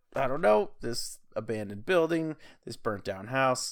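Ordinary pitch variation and a moderate pace from a man in a normal speaking voice. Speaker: podcast co-host. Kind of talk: casual chat about paranormal stories.

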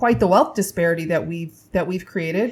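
A woman with an American accent sounds somewhat breathy and uses ordinary pitch variation. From Indiana, US Midwest. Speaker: comedian and TV writer. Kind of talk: casual chat.

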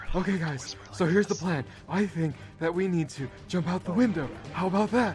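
Clear music plays behind a man doing a put-on character voice pitched high. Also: fairly quick pace, ordinary pitch variation. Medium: actual play. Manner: urgent.

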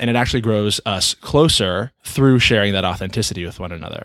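An unremarkable speaking voice, this man's fairly low pitch comes at a fairly quick pace with ordinary pitch variation on a very clean recording with a silent background and a dry, close sound with no echo. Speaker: podcast host and coach. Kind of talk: casual conversation.

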